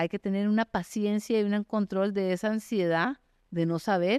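Against a quiet background, a woman talks with ordinary pitch variation in a dry, close sound with no echo. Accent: Costa Rican. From Costa Rica, San José. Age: 50s. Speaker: mountaineer and endurance athlete. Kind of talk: interview.

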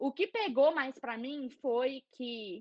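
Against a quiet background, a woman with a Minas Gerais accent speaks high-pitched, with lively intonation. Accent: Mineiro Brazilian Portuguese. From Belo Horizonte, Brazil. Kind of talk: casual interview chat. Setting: video call, livestream.

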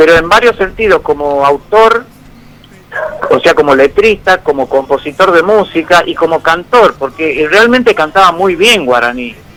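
There is noticeable background noise behind a man speaking at a moderate pace. His pitch is high, and his intonation is lively. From Argentina, Tafí Viejo, Tucumán. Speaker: folk guitarist. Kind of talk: interview.

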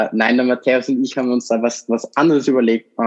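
The sound of this man's medium-pitched voice is dry and close, with no echo. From Austria, Vorarlberg. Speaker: podcast host, startup founder. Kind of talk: casual chat. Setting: studio, sitting across from co-host.

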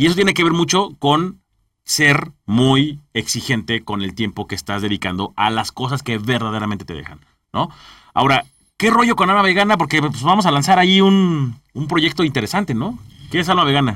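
Over a very clean recording with a silent background, a man with a bright, sharp tone speaks at a moderate pace, his pitch swinging very widely. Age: 30s. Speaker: podcast host, entrepreneur. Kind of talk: interview chat. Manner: halting, repeats words.

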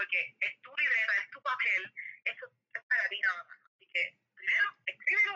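The recording of a woman with a Puerto Rican accent is dry and close, with no echo. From Puerto Rico, Mayagüez. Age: 20s. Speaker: entrepreneur. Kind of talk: casual chat.

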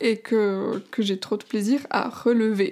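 Pitched fairly high, a woman talks with fairly even intonation. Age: 20s. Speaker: life coach and podcaster. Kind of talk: casual solo podcast monologue. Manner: hesitant, many fillers.

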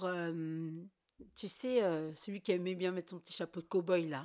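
A woman with an unremarkable speaking voice talks at a medium pitch and a fairly slow pace. The recording is very clean, with a silent background. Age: 30s. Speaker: podcast guest. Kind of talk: casual chat.

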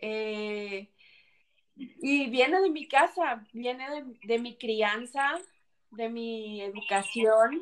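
Her voice has a fairly high pitch and ordinary pitch variation. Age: 30s. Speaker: civil engineer. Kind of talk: interview testimony.

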